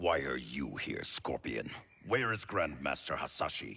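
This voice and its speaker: In a put-on character voice, a man growls at a very deep, low pitch with very wide pitch swings and a moderate pace. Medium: short film. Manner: blunt, distrustful.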